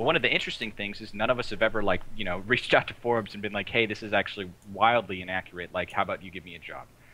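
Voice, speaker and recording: A man talks at a very fast pace in a bright, sharp tone. His loudness swings widely while his pitch varies in an ordinary way. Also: fairly low pitch for a man, hardly any pauses. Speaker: esports journalist. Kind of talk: casual chat. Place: home room. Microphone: video call.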